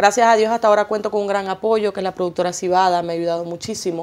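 A woman is talking. She keeps her intonation fairly even. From Venezuela, Maracaibo; Venezuela. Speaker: singer and journalist; journalist. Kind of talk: TV interview. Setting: TV studio. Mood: warm, grateful. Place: studio.

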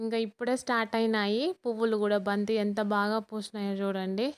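A woman's unremarkable speaking voice with fairly even intonation, dry and close with no echo, on a very clean recording against a silent background. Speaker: gardening vlogger. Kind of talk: video tour and tips. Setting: outdoors on terrace garden.

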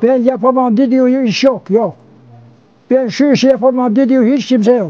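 A man talks at a fairly slow pace with an extremely high pitch and ordinary pitch variation. Music plays in the background. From Sinop, Turkey. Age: 80s+. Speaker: villager. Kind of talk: interview answer. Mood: earnest, praising, emphatic. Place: open country.

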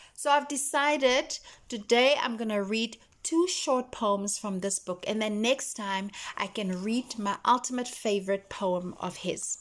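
A woman speaks at a fairly slow pace in an animated, warm tone, her fairly high voice moving with ordinary pitch variation. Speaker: poetry vlogger. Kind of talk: poetry reading, spoken-word delivery of love poems after a chatty intro. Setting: video. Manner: animated, warm, gushing and expressive in the chatty parts; slower, tender and intimate with pauses when reading the poems. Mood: earnest, emotional. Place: home room. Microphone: phone near.

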